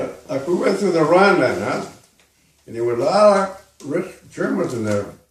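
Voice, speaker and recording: A man speaks at a high pitch and a moderate pace, with very wide pitch swings. His loudness rises and falls in big swings. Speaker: war veteran. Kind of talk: interview answer.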